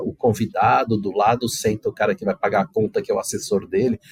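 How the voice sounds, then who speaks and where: Fairly quick speech from a man, the sound dry and close with no echo. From Brazil. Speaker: corporate ethics manager. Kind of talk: podcast interview.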